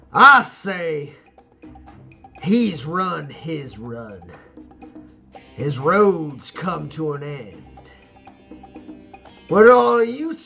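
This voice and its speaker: Booming and gruff, a man puts on a character voice pitched fairly high, with very wide pitch swings, big swings in loudness and a very slow pace over faint music in the background. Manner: commanding.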